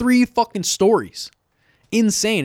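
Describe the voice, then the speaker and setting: A man with an American accent is heard in a very clean recording with a silent background and a dry, close sound with no echo. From US West Coast, Sacramento, California. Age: 20s. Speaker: comedian. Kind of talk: casual chat. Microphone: very close to the mic, clipping.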